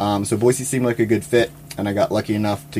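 With music in the background, a man speaks fairly quickly. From Louisiana. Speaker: wildlife biologist, nonprofit president. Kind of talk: interview. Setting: studio.

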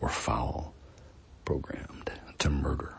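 With an American accent, a man speaks in a theatrical tone. His pace is fairly slow. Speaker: podcast host and poet. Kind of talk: poetry reading in a deliberate, dramatic spoken-word cadence, stacking vivid images; casual introduction before the reading. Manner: casual, hesitant, fillers and restarts in the spoken intro.

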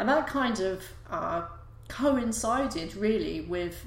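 A woman speaks with noticeable background noise and audible room echo. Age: 40s. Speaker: podcast host. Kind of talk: casual monologue. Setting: live YouTube broadcast. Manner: hesitant, many fillers.

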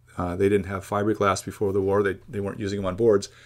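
This is a man's voice. His pitch sits fairly low. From California, Los Angeles. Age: 60s. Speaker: surf historian and writer. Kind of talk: casual interview chat. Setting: video call.

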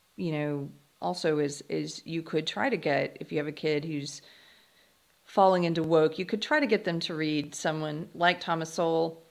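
At a moderate pace, the speaker has an unremarkable speaking voice. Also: woman. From US South, South Carolina. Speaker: writer and podcast host. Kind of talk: interview conversation. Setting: video call.

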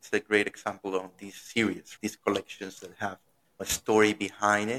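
A man with a Spanish accent speaks at a medium pitch and moderate pace, in a dry, close sound with no echo. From Venezuela. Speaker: podcast host. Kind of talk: interview. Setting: live-streamed remote interview.

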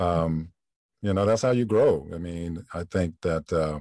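Recorded dry and close with no echo, a man with an American accent speaks in a very deep, low pitch with a dark, mellow tone. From US Midwest, Flint, Michigan. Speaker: voice actor. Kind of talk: casual chat. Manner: halting.

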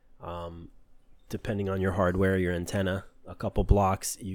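On a very clean recording with a silent background, a man with a very deep, low pitch talks at a moderate pace in monotone, flat intonation. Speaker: podcast host, hacker. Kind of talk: solo podcast monologue on cybersecurity. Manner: hesitant, with fillers.

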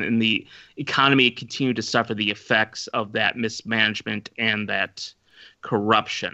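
Monotone, flat intonation marks a man's medium-pitched voice. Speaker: podcast guest and Korea expert. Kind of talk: casual discussion.

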